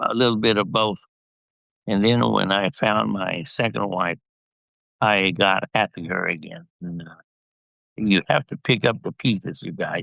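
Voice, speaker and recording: A man with an American accent speaks at a fairly slow pace, leaving long, frequent pauses. His fairly low voice has vocal fry and ordinary pitch variation. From US West (Central California). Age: 80s+. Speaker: dentist, widower. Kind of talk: interview.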